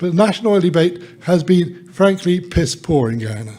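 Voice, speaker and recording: A man talks at a fairly quick pace with a high pitch and lively intonation. Noticeable background noise sits behind him. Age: 70s. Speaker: author and oil commentator. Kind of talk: panel talk.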